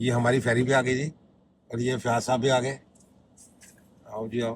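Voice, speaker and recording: A man talks at a moderate pace in a medium-pitched voice. His intonation is monotone and flat. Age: 60s. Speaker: travel vlogger. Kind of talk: casual chat.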